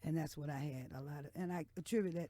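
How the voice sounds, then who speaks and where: Her dark, mellow tone carries a fairly quick pace and fairly even intonation as this woman speaks. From US South, Texas and Lawton, Oklahoma. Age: 60s. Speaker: blues singer. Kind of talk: radio interview. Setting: radio studio.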